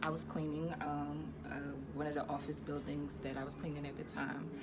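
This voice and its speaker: A woman with an American accent, heard with audible room echo and noticeable background noise. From Philadelphia, Pennsylvania. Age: 30s. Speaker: vlogger. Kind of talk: personal story time vlog. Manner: casual, hesitant with many fillers.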